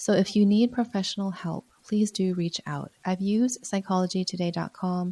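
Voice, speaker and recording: A woman's medium-pitched, somewhat breathy voice, dark and mellow in tone, at a moderate pace, with a dry, close sound and no echo. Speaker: physician podcast host. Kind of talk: casual solo podcast talk with advice.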